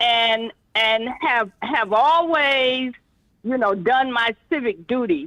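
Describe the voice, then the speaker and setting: Her delivery is very slow. The speaker is a woman whose pitch sits fairly high. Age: 60s. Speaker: caller. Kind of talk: call-in radio. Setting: phone call. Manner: halting.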